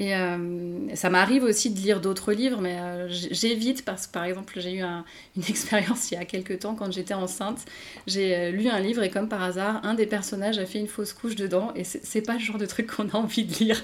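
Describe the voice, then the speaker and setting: With fairly even intonation, a woman talks fairly quickly in a medium pitch. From France. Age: 30s. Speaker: novelist. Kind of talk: interview. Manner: halting, many hesitations.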